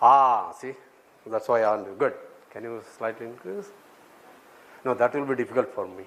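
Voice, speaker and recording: Speaking at a fairly quick pace with long, frequent pauses, a man with an Indian accent uses a medium pitch and ordinary pitch variation. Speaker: mathematics professor. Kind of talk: lecture. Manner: interactive, checks audience often; halting.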